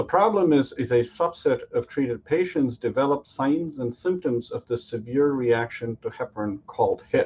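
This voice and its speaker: A man's fairly high voice moves at a moderate pace, with ordinary pitch variation. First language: Tamil. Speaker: physician-scientist, startup founder. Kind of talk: startup pitch.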